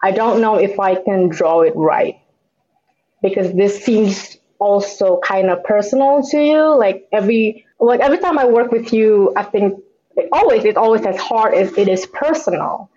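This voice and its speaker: Lively intonation from a woman with an unremarkable speaking voice at a fairly high pitch and a moderate pace. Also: very even loudness. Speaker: comic book artist. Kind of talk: casual conversation interview.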